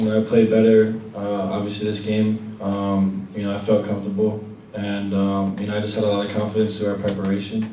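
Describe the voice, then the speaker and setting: Over light background noise and audible room echo, a man with a fairly low pitch speaks with hardly any pauses. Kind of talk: interview answer. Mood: calm, modest after a win. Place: hall.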